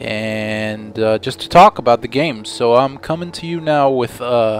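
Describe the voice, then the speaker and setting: A man speaks at a medium pitch while noticeable background noise carries on behind him. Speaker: gameplay commentator. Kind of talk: video game commentary. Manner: monotone, a little sleepy.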